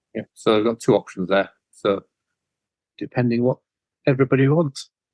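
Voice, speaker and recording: Recorded dry and close with no echo, a man with a Yorkshire accent speaks at a fairly quick pace and medium pitch, with ordinary pitch variation and very even loudness. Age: 50s. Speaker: cleaning business owner. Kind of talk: interview.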